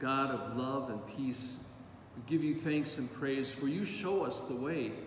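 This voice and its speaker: A man with medium pitch talks at a very slow pace amid audible room echo and noticeable background noise. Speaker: priest. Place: church.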